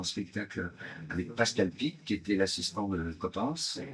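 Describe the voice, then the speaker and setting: This is a man speaking. His intonation is lively. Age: 60s. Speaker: stage actor. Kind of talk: promotional interview. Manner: hesitant, many fillers.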